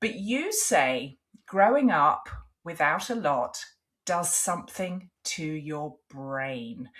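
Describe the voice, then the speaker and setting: A woman speaks very slowly with an English accent. Her pitch swings very widely. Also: fairly low pitch for a woman. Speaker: podcast host. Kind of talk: interview.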